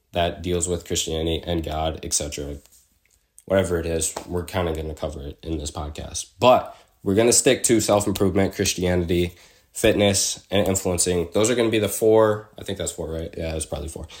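At a fairly quick pace, a man talks in a very deep, low voice with ordinary pitch variation. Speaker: podcast host. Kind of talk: casual solo monologue. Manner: casual with filler words.

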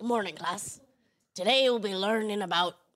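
A woman's raspy, put-on character voice at medium pitch and a moderate pace. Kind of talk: teacherly.

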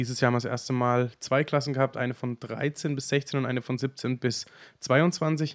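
A man's plain, everyday voice at a medium pitch and moderate pace, with fairly even intonation and a dry, close sound with no echo. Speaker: podcast co-host. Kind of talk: casual chat.

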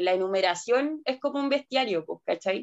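A woman talks at a moderate pace. The sound is dry and close with no echo, and the background is quiet. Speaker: anthropologist and researcher. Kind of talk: interview testimony.

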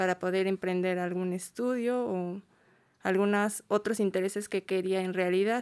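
A woman's unremarkable speaking voice at a medium pitch and moderate pace, on a very clean recording with a silent background. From State of Mexico. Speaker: migrant shelter volunteer. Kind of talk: interview. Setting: studio.

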